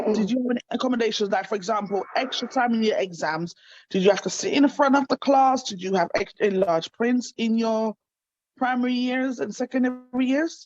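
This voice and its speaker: An unremarkable speaking voice from a woman, fairly high in pitch, at a fairly quick pace, with ordinary pitch variation. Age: 30s. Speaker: talk show host. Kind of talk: interview. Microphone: breaking up, poor internet signal.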